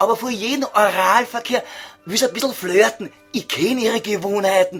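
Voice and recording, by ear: A man's put-on character voice in a Viennese accent, high in pitch with ordinary variation, fairly bright with a slightly husky edge, at a moderate pace over faint music in the background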